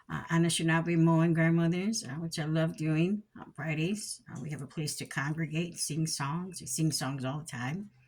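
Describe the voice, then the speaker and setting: A woman talks with a fairly low pitch, somewhat breathy, at a moderate pace with hardly any pauses. Her pitch varies in an ordinary way while her loudness swings widely. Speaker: spiritual teacher. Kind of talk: teaching talk. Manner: halting.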